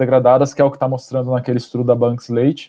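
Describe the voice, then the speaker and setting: This man's voice has a dark, mellow tone. His pitch is medium. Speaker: ecologist, postdoctoral researcher. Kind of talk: lecture. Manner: fast.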